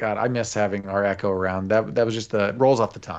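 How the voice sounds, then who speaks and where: Against a quiet background, a man with a fairly low pitch is mumbling. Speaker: podcast co-host. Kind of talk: casual chat. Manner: mumbling, talks under breath.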